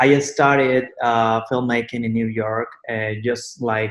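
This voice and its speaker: Speaking in a Mexican accent, a man with a medium pitch keeps a monotone, flat intonation. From Mexico. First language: Spanish. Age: 20s. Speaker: content creator. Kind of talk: interview answers. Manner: halting.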